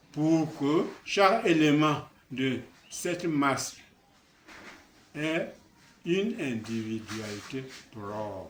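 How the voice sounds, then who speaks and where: Very slow and full of long, frequent pauses, a man with a fairly high pitch speaks with very wide pitch swings. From Cameroon, Basaa region. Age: 80s+. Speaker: traditional elder. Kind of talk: address to his people.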